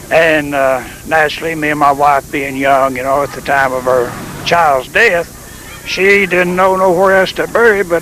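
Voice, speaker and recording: A man with a Tennessee Valley accent at a moderate pace, ordinary pitch variation, music in the background. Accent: Southern US (Tennessee Valley). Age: 70s. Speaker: retired preacher. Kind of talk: interview.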